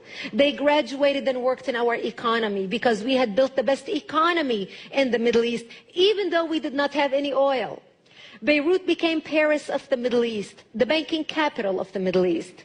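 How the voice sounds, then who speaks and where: A woman's high, lively voice at a fairly quick pace, with noticeable background noise. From Lebanon. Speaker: speaker. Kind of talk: speech to a church audience.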